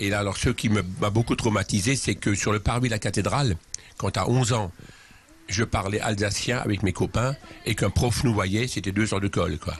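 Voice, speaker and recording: A man's fairly low-pitched voice at a moderate pace, with fairly even intonation and very even loudness. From Alsace, Schiltigheim near Strasbourg. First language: Alsatian (speaking French). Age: 60s. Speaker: charity leader and author. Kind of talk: interview. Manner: hesitant with many fillers.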